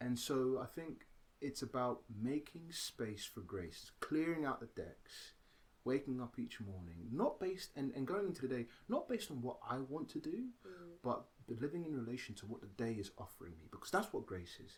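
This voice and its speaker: Speaking with a British accent, a man has a medium-pitched, somewhat breathy voice. His pitch swings very widely. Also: big swings in loudness. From Britain. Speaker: actor, writer, theatre-maker. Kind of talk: interview answer.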